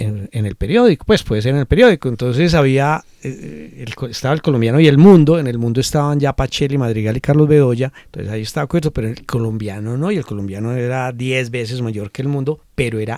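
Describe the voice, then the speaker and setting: A dark, mellow tone at a very fast pace with hardly any pauses, big swings in loudness, ordinary pitch variation, and a dry, close sound with no echo. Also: man. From Medellín, Colombia. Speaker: cultural manager. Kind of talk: interview.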